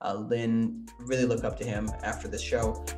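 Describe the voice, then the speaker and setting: Here a man speaks at a medium pitch. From northern Wisconsin. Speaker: podcast host. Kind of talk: podcast intro and interview.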